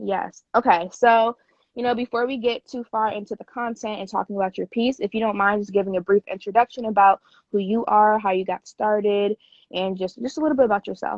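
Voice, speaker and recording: A woman with an unremarkable speaking voice and a fairly high pitch moves at a fairly quick pace with fairly even intonation and big swings in loudness. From Springfield, Massachusetts. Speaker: museum media staff. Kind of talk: interview. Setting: video call.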